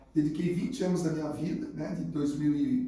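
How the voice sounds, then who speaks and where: At a fairly quick pace, a man talks in a fairly high pitch with ordinary pitch variation, and audible room echo surrounds him. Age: 60s. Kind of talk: casual interview. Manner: halting.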